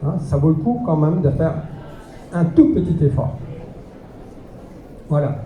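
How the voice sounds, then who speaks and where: Amid noticeable background noise and audible room echo, a man with a fairly high pitch speaks fairly slowly, with ordinary pitch variation and long, frequent pauses. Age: 60s. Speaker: alternative health teacher and martial arts instructor. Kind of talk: lecture.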